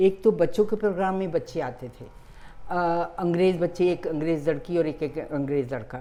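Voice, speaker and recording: A woman's fairly low voice, dark and mellow in tone, with lively intonation. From Peshawar, northwest British India. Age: 90s. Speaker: retired broadcaster. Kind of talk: interview. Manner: halting.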